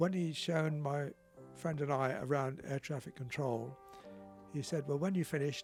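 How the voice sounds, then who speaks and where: Over music in the background, a man with a fairly high pitch speaks at a moderate pace in a southern English accent, his intonation fairly even. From Southampton, England. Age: 80s+. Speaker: retired RAF pilot. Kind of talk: interview answer.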